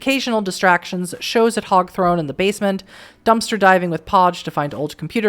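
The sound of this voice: The voice reads aloud without strain. Its pitch moves up and down a normal amount.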